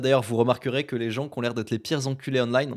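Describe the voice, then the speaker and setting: Speaking at a medium pitch with fairly even intonation, a man has an unremarkable speaking voice, captured on a very clean recording with a silent background. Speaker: podcaster and YouTuber. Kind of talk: solo podcast monologue. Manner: casual, filler-heavy.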